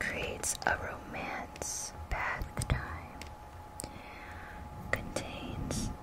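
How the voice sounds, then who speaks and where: Through loud background noise, a woman speaks at a very slow pace with long, frequent pauses. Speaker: ASMR creator. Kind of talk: ASMR whisper reading of product descriptions to camera. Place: home room. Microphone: phone near.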